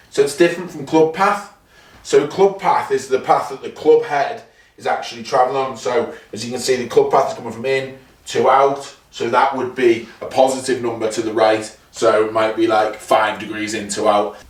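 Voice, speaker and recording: A man at medium pitch, with lively intonation and big swings in loudness at a moderate pace, amid audible room echo and noticeable background noise. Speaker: golf vlogger. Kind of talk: golf practice vlog.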